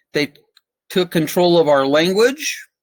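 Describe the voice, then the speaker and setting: A man with an American accent and a high pitch talks at a fairly slow pace, the sound dry and close with no echo. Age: 60s. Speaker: presenter on constitutional rights. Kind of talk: lecture.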